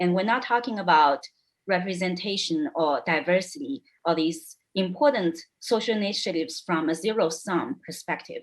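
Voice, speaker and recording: In a non-native accent, a woman speaks at medium pitch and a moderate pace with lively intonation. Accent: foreign. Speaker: panelist. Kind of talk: panel debate.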